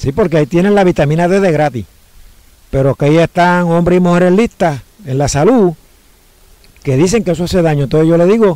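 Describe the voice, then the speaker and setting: Against a quiet background with dry sound and no echo, a man talks at a fairly quick pace with long, frequent pauses, a high pitch, ordinary pitch variation, very even loudness and a dark, mellow tone. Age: 60s. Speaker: home cook and health diet teacher; health diet teacher. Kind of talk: interview. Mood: cheerful, smiling, convinced. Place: open country. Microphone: phone near.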